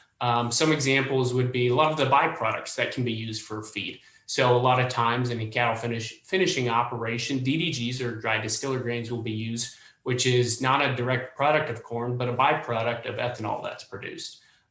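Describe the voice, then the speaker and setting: Amid noticeable background noise and audible room echo, a medium-pitched man talks at a fairly quick pace with fairly even intonation and hardly any pauses. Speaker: meat industry representative. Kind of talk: panel discussion. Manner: fast.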